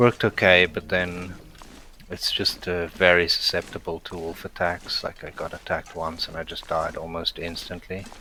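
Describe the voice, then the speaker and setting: A man with a South African accent talks at a moderate pace in a very deep, low pitch. His intonation is monotone and flat, his loudness swings widely, and background noise is noticeable. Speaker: gaming streamer. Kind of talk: live gameplay commentary. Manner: flat intonation; casual, with many fillers.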